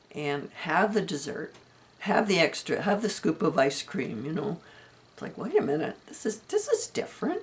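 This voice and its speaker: With lively intonation and a moderate pace, a woman talks as noticeable background noise runs underneath. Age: 70s. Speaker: vlogger sharing health update. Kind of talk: personal vlog monologue. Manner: hesitant, many ums.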